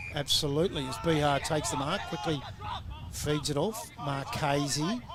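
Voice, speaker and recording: With an Australian accent, a man speaks at a moderate pace in a fairly high pitch, showing ordinary pitch variation and very even loudness. Noticeable background noise and audible room echo fill the recording. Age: 60s. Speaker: football commentator. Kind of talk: live commentary.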